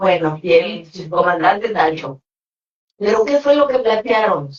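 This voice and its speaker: Lively intonation in a woman's fairly high-pitched voice, at a very slow pace. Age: 70s. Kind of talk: speech. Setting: conference with audience.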